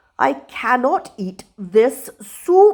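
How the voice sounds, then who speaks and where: A woman's put-on character voice, high-pitched and growling, with very wide pitch swings. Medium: read story. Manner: commanding.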